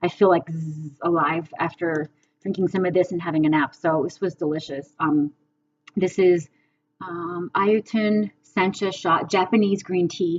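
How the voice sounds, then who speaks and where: At a fairly slow pace, a woman with a fairly low pitch speaks with fairly even intonation. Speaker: vlogger. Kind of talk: casual chat. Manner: many fillers.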